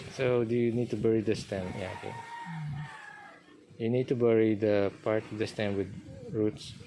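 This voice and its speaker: Speaking with a Filipino accent at a medium pitch, a man keeps his intonation fairly even and pauses long and often over noticeable background noise. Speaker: gardening vlogger. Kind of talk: casual chat. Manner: slow.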